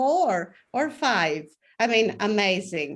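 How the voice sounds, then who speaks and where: A woman with a Greek accent on a very clean recording with a silent background. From Greece. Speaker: professor. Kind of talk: panel discussion.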